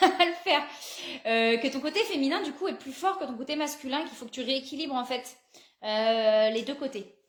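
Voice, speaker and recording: A woman's high-pitched voice with lively intonation and big swings in loudness. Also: moderate pace. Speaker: psychic card reader. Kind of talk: live card reading guidance. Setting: live video stream.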